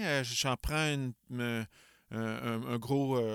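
In a Quebec accent, the speaker talks very slowly with fairly even intonation, in a dry, close sound with no echo, on a very clean recording with a silent background. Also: man. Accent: Québécois French. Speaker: podcast host. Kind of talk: casual interview chat.

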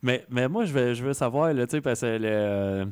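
An ordinary speaking voice from a man at medium pitch, fairly slow in pace, in a very clean recording with a silent background. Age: 30s. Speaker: radio host. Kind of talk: interview.

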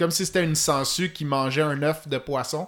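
A man with an unremarkable speaking voice talks at a moderate pace and fairly even intonation on a very clean recording with a silent background. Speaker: fly fishing expert. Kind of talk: technical podcast interview.

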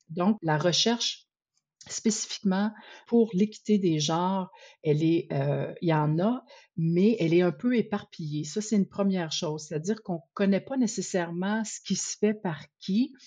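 Somewhat breathy, this voice with a Quebec accent shows ordinary pitch variation. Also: woman, medium pitch for a woman, fairly slow pace, quiet background. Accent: Québécois French. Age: 50s. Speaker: researcher and advocate for women in sport. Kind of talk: interview.

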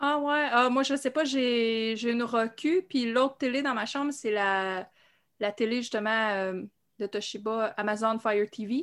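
The recording is very clean with a silent background. A woman with a fairly high pitch and ordinary pitch variation uses an ordinary speaking voice. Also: fairly slow pace. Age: 40s. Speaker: horror fan panelist. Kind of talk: casual chat.

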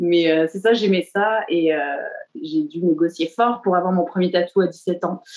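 A woman's fairly low pitch, fairly even intonation and fairly slow pace. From southern France. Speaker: tattoo artist. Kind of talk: interview. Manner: hesitant, many fillers.

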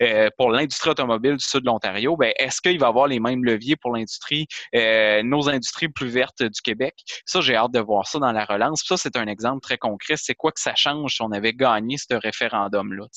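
This man's voice sits at a medium pitch with ordinary pitch variation, a bright, sharp tone, a fairly quick pace, and a dry, close sound with no echo. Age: 30s. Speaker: member of parliament. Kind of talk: interview.

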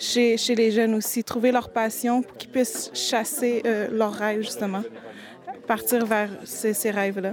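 Noticeable background noise sits under a monotone, flat delivery at a moderate pace. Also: woman. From Quebec, Montreal. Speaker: youth ambassador. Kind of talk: interview testimony.

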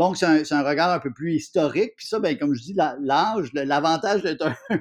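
At a moderate pace, a man with a fairly high pitch and an unremarkable speaking voice talks with ordinary pitch variation. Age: 50s. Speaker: TV host, columnist and actor. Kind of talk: casual interview.

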